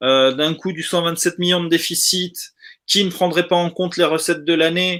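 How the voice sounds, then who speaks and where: A man speaks at a moderate pace with a high, bright, sharp tone. His intonation is flat and monotone. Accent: Spanish. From South America. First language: Spanish (speaking French). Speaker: football fan participant. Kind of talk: casual live discussion.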